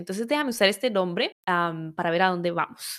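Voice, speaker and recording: A plain, everyday voice at a fairly quick pace with ordinary pitch variation, on a very clean recording with a silent background. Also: woman. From Venezuela. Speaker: women's health educator, podcast host. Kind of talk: personal storytelling monologue.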